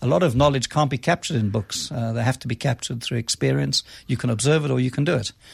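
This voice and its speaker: A man with a medium pitch and ordinary pitch variation talks at a very fast pace with vocal fry, recorded very cleanly against a silent background with a dry, close sound and no echo. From South Africa, Cape Town. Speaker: business school dean. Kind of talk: radio interview.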